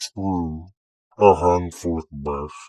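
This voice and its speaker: This is a put-on character voice from a man. It lands very deep and low in pitch. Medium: read story. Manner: calm, knowing.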